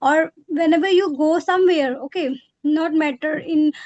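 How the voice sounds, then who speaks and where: Extremely high in pitch, a woman's voice comes through with a dry, close sound and no echo. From India, Haryana. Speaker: English learner, homemaker. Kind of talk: English practice conversation. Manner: halting.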